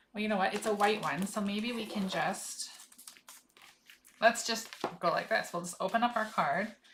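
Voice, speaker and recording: With noticeable background noise behind her, a woman speaks at a moderate pace and fairly high pitch, leaving long, frequent pauses. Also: ordinary pitch variation. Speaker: craft demonstrator. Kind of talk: live craft tutorial. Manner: casual, self-talking.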